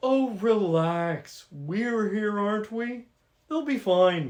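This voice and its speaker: A put-on character voice sits at fairly high pitch. It moves at a very slow pace. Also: female-sounding voice. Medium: audio drama. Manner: flippant, theatrical.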